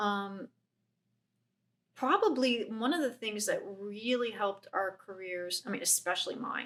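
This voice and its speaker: A woman speaks at a fairly slow pace, with long, frequent pauses. Her pitch sits fairly high, and it varies in an ordinary way. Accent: slight Chicago. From Chicago. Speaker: painter. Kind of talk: casual chat. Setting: artist's studio.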